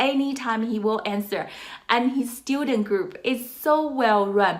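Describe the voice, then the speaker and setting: A woman's high-pitched, enthusiastic voice over noticeable background noise. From China. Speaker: online course reviewer. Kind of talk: product review.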